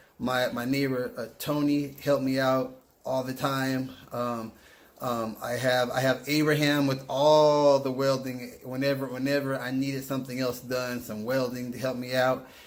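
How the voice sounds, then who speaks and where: The man's intonation is monotone and flat, at a medium pitch and a moderate pace. Audible room echo surrounds his voice. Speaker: car hobbyist vlogger. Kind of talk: vehicle walk-around video. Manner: halting, repeated words; casual.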